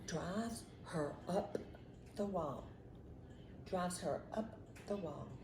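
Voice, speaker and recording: Against noticeable background noise, a woman with a fairly low pitch and ordinary pitch variation speaks at a very slow pace and a very even loudness, with long, frequent pauses. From southern Mississippi. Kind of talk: casual conversation.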